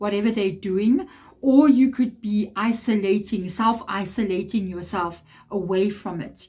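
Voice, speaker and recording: A somewhat breathy woman's voice on a very clean recording with a silent background. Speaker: tarot reader. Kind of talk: tarot reading monologue.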